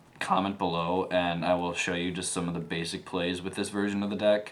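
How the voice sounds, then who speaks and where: A man speaks with a very deep, low pitch and fairly even intonation. Room echo is audible. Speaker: gaming channel host, card game player. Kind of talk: tutorial. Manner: stuttering, many fillers; casual, filler-heavy.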